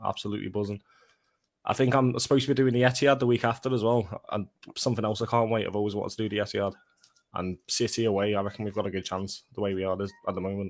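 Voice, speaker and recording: A man's fairly low voice in a Liverpool accent, very fast with fairly even intonation. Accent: Scouse. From Liverpool, England. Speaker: football fan guest. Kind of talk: casual chat. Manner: halting, repeats words.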